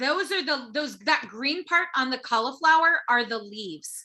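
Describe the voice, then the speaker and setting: A woman uses a raised, projected voice at a fairly slow pace. Her tone is bright and sharp, with ordinary pitch variation. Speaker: cooking workshop instructor. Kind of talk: live cooking tutorial.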